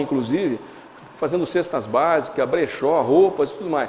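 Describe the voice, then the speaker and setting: Noticeable background noise and audible room echo surround a man speaking in a high pitch. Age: 60s. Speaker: spiritist lecturer. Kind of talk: lecture. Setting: lecture hall with audience. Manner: halting, many fillers and restarts.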